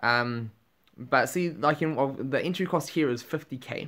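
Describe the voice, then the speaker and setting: A man with a New Zealand accent, very slow, bright and sharp in tone, with ordinary pitch variation. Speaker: gaming YouTuber. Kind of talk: gameplay commentary. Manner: animated. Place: home room.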